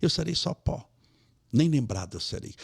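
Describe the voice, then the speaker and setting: Somewhat breathy, a man speaks at a moderate pace in a very clean recording with a silent background. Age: 60s. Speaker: spiritist lecturer. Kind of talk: interview conversation.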